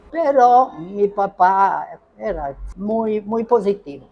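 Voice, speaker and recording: A woman speaks over light background noise. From Northern Italy (Bergamo). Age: 80s+. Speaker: pizzeria owner, Italian immigrant pioneer. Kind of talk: interview answer. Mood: reminiscing, warm.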